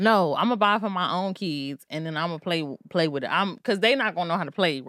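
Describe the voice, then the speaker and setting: In a plain, everyday voice with an American accent, a woman with fairly low pitch talks at a fairly quick pace with lively intonation, recorded very cleanly against a silent background. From Maryland, US. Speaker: podcast host. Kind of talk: casual chat.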